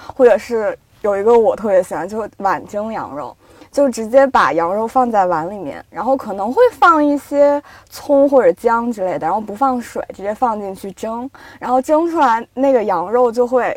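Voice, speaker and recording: Her pitch is fairly high, and this woman's intonation is lively. She keeps a moderate pace while her loudness swings widely. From Yinchuan, northwest China. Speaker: editor. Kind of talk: casual chat.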